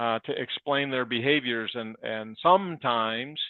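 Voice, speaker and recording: A man speaks at a fairly slow pace. His pitch sits in the medium range. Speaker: leadership podcast co-host. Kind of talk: podcast discussion. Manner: loud.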